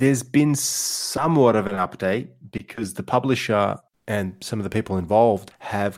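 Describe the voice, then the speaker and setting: With an Australian accent, a man talks on a very clean recording over a silent background. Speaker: podcast host. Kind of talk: casual chat; storytelling. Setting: virtual round table.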